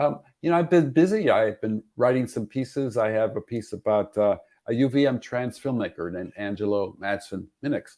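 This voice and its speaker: A dark, mellow voice moves at a moderate pace with lively intonation and hardly any pauses. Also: man, medium pitch for a man. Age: 70s. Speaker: former state legislator and filmmaker. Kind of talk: casual chat.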